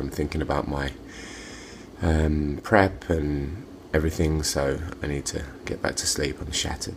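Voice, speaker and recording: A man's very deep, low voice with an English accent, monotone and flat in intonation, at a moderate pace amid noticeable background noise. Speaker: natural bodybuilder and personal trainer. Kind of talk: video diary. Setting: kitchen at night.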